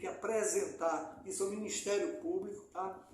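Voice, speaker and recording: Audible room echo surrounds a man whose high-pitched voice makes very wide pitch swings. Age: old. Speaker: community activist. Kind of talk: interview. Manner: loud; halting.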